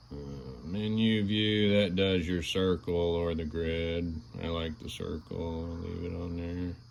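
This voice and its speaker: In audible room echo, a man with a very deep, low pitch speaks very slowly and with fairly even intonation. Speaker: product reviewer. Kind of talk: product review. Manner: casual, hesitant.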